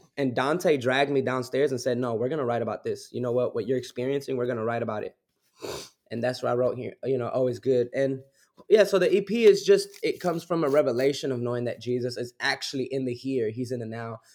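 Using ordinary pitch variation, a man with an American accent talks at a very fast pace. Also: medium pitch for a man. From Newark, New Jersey. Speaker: worship musician and minister. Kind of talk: casual interview.

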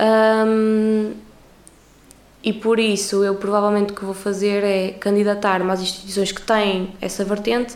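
Over noticeable background noise and audible room echo, a woman of medium pitch speaks at a moderate pace with monotone, flat intonation. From Portugal. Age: 20s. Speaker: university student. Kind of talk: casual interview chat.

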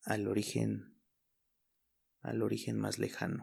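A man at a very slow pace. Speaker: podcaster. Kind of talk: personal storytelling monologue. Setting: home studio. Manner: halting, frequent word repetitions.

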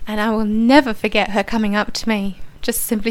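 Here a woman speaks with an Australian accent. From Poland, then Australia from about age 10. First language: Polish. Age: 40s. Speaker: immigrant interviewee. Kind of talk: radio interview. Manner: hesitant, many fillers.

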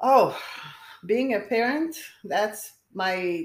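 A woman with a Romanian accent speaks at a very slow pace, her pitch swinging very widely. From Romania, Bucharest. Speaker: nurse. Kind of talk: interview.

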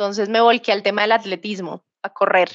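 In a Bogotá accent, a woman speaks fairly quickly at a fairly high pitch with fairly even intonation. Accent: Bogotá Colombian Spanish. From Colombia, Bogotá. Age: 30s. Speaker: tech sales professional. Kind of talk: interview. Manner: halting.

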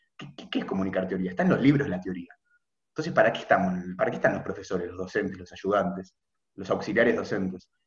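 Music plays behind a man with a very deep, low voice and ordinary pitch variation. He talks very fast, with big swings in loudness. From Argentina, Buenos Aires. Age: 20s. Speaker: medical student. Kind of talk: casual chat.

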